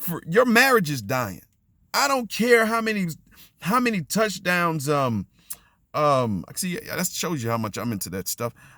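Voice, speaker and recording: Loud and high-pitched, a man speaks at a fairly slow pace with very wide pitch swings and a bright, sharp tone. The recording is very clean, with a silent background. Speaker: faith and relationships vlogger. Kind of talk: motivational monologue. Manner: halting.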